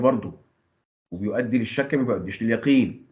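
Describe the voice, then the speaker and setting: A man with a medium-pitched voice talks at a fairly quick pace with ordinary pitch variation, and the room echo is audible. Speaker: teacher. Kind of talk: lecture.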